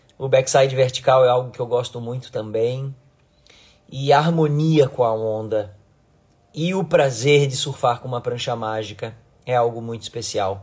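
Somewhat breathy, the man speaks at a medium pitch and moderate pace, with ordinary pitch variation and big swings in loudness. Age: 40s. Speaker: surf coach and surfboard designer; surf coach. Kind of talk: casual live stream talk to followers. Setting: Instagram live video stream. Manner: animated. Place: home room. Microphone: phone near.

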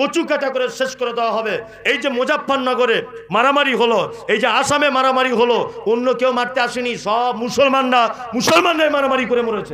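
Over light background noise, a man uses a raised, projected voice at an extremely high pitch with fairly even intonation. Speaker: Islamic preacher giving a waz lecture. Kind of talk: public religious sermon with humorous storytelling. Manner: conversational, emphatic, rhetorical questions to audience. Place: stage. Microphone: pa.

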